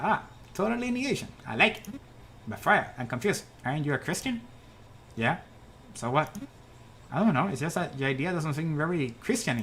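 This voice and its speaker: A man puts on a character voice, pitched fairly high and moving at a fairly quick pace, with long, frequent pauses over clear background noise. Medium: game stream. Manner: boastful yet jittery.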